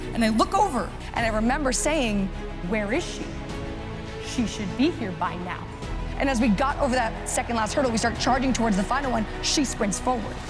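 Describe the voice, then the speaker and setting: Music plays behind a woman with a high voice. She speaks at a fairly quick pace. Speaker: motivational keynote speaker. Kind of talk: keynote speech to live audience. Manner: high-energy.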